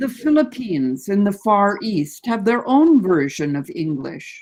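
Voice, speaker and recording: This woman talks at a fairly slow pace with an American accent. Her pitch sits in the medium range. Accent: Canadian English with some American. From Canada. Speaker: guest speaker on English language. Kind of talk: lecture.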